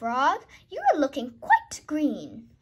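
Putting on a character voice, a woman speaks slowly at a high pitch with very wide pitch swings.

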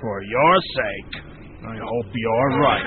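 A man puts on a character voice at a medium pitch. Clear background noise is present. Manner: commanding, menacing.

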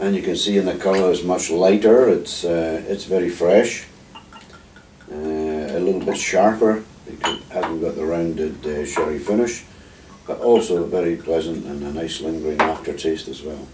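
In a Scottish Highland accent, a man with a very deep, low pitch speaks at a moderate pace with ordinary pitch variation and big swings in loudness, over light background noise and audible room echo. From Scottish Highlands. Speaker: former distillery manager, brand ambassador. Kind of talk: interview answer. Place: home room. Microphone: camera far.

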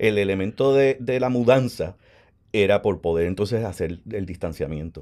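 A man talks at a moderate pace with a fairly low pitch, a dark, mellow tone and ordinary pitch variation. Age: 50s. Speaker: actor. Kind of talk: interview conversation.

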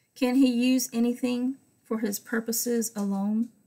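A woman's high-pitched voice, dark and mellow in tone, flat and monotone, at a fairly slow pace against a quiet background. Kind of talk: Bible study teaching with prayer. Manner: fervent; rambling. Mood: calm, devotional. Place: home room. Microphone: webcam.

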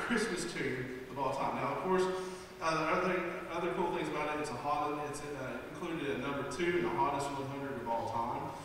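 A man talks at a fairly quick pace with ordinary pitch variation. Strong room echo and light background noise surround him. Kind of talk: stage song introduction. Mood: playful, amused. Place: stage.

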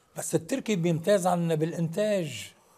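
Against a quiet background, a man with a high pitch speaks in a dark, mellow tone at a fairly slow pace. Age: 60s. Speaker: actor; actor, guest. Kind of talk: TV interview. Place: studio.

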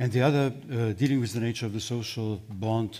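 In a Slovenian accent, a man speaks at a fairly quick pace with a fairly low pitch. His pitch varies in an ordinary way. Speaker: philosopher. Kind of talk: panel discussion. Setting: stage with audience. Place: hall. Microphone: headset.

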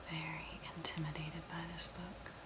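Loud background noise fills the clip. Through it, a woman speaks at a very slow pace. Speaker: ASMR creator. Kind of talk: casual talk to camera.

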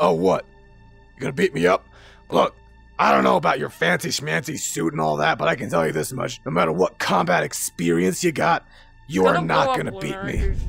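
Over faint background music, a man with a very deep, low pitch talks at a fairly quick pace. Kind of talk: casual tough-guy roleplay acting. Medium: machinima. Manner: cocky, sarcastic, tough.

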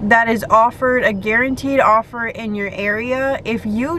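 A woman speaks at a fairly slow pace with fairly even intonation. The sound is dry with no echo, over light background noise. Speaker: delivery driver vlogger. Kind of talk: casual vlog chat. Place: car. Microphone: phone near.

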